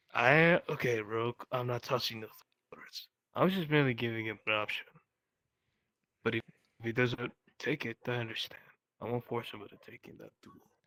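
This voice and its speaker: Using a put-on character voice, a man speaks at a medium pitch and a fairly quick pace, with long, frequent pauses. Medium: machinima. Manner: measured, self-assured.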